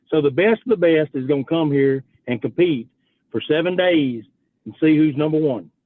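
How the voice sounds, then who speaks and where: A man with a Louisiana accent talks at a moderate pace, his pitch fairly high and its variation ordinary. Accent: Louisiana Southern. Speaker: youth rodeo association president. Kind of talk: radio interview.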